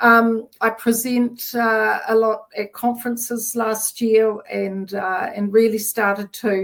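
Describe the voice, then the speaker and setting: With a New Zealand accent, a woman at a fairly high pitch speaks at a very slow pace with hardly any pauses. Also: ordinary pitch variation. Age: 60s. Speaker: menopause coach. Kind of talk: interview. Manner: halting.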